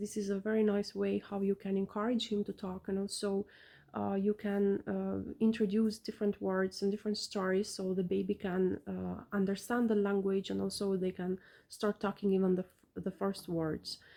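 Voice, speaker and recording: With an Albanian accent, the speaker talks at a moderate pace in a dark, mellow tone with monotone, flat intonation. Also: woman, medium pitch for a woman. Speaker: parent vlogger. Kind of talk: casual vlog talk. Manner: halting, many fillers.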